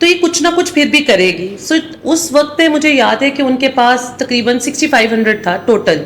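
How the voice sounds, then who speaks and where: Lively intonation from a high-pitched woman with a Pakistani accent, moderate pace with hardly any pauses and very even loudness, over noticeable background noise. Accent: Pakistani Urdu. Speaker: CEO. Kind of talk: interview.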